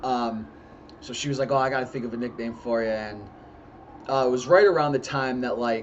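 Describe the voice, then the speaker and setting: With audible room echo and noticeable background noise, a man talks at a medium pitch that varies in an ordinary way. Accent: American. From US Northeast, northeast Pennsylvania. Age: 30s. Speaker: YouTuber. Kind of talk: casual vlog monologue. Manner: many fillers (uh, um).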